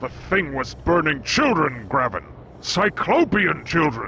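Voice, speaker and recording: Putting on a character voice, a man talks at a fairly high pitch and a fairly slow pace against clear background noise. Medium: video game. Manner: blunt, skeptical.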